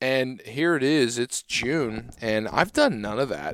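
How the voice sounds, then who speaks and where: Recorded very cleanly against a silent background with a dry, close sound and no echo, a man speaks at a medium pitch with ordinary pitch variation in a normal speaking voice. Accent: American. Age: 20s. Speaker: podcast host, agronomist. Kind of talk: casual interview chat.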